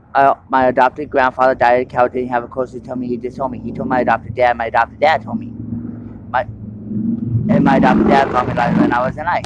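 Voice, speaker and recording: A loud man at a very fast pace and medium pitch, with ordinary pitch variation, amid noticeable background noise. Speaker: testimony speaker. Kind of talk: testimony. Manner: halting; uneven loudness.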